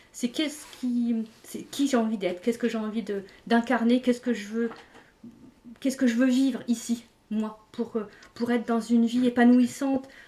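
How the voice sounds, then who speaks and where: The speaker is a woman with a high pitch. Her intonation is fairly even. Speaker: energy healer and wellbeing coach. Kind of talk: live stream discussion. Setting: live stream. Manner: fast.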